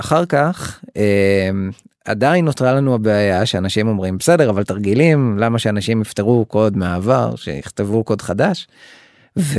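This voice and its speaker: In a plain, everyday voice, a man speaks fairly slowly at a fairly low pitch, his intonation lively and his loudness very even. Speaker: startup CTO and co-founder. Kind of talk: interview.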